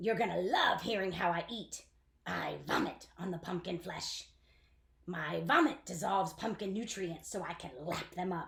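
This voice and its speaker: At a moderate pace, someone uses a put-on character voice that is raspy. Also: woman, medium pitch for a woman. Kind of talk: children's book read-aloud.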